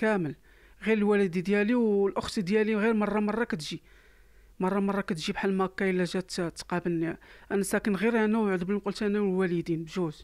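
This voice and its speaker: Speaking at a moderate pace, a man uses a high pitch and fairly even intonation. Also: quiet background. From Morocco. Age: 30s. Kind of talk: testimony. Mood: sad, weary. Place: home room. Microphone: handheld.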